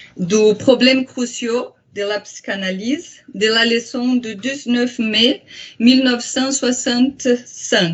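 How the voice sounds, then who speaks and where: At a very slow pace, a woman with a high pitch speaks in a strong Brazilian accent with ordinary pitch variation. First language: Portuguese (speaking French). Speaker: psychoanalyst and translator. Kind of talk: lecture. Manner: halting, many hesitations.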